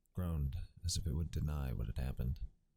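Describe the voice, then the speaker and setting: A soft-spoken man talks at a fairly quick pace with a very deep, low pitch. His tone is gentle and somewhat breathy. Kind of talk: ASMR audiobook reading, softly spoken. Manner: soft-spoken, quiet, gentle.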